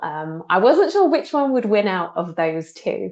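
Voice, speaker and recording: Against a quiet background, a woman talks with a British accent. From UK. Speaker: trend researcher. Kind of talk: webinar presentation. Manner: casual, frequent fillers.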